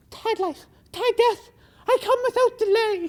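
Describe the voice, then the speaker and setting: This put-on character voice is squeaky and extremely high in pitch, moving at a fairly slow pace. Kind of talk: comic overacting. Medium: short film. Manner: overwrought, stumbling.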